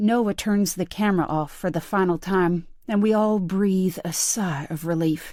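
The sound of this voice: An unforced reading voice carries the whole clip.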